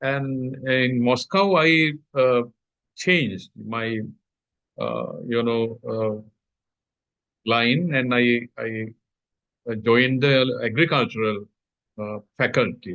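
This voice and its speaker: A man with a Sri Lankan accent speaks at a very slow pace and medium pitch, with ordinary pitch variation and long, frequent pauses. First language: Sinhala. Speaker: agricultural scientist. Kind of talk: interview. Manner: halting.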